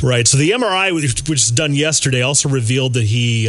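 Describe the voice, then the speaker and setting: Noticeable background noise runs beneath a man whose pitch varies in an ordinary way. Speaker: radio host. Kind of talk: radio show banter.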